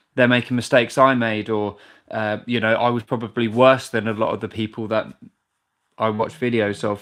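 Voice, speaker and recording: A man with a British accent speaks at a fairly quick pace in a medium pitch, his intonation flat and monotone, on a very clean recording with a silent background. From UK. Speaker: drummer and video creator. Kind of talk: live stream Q&A.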